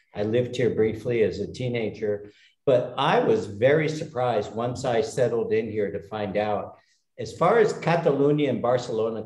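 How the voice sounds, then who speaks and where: Audible room echo surrounds this recording of a man. He has a medium pitch and an American accent. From United States. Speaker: retired expat. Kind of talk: casual chat. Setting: video call.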